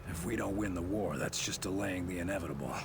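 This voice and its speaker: Over loud background noise, a man does a put-on character voice, very deep and low, at a very fast pace. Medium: machinima. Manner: terse, dry.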